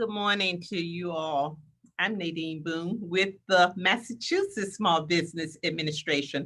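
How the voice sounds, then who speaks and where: A woman with a bright, sharp tone speaks at a fairly slow pace. Her pitch is fairly low, her intonation fairly even. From Washington DC area / Northern Virginia. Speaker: government business development official. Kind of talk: interview.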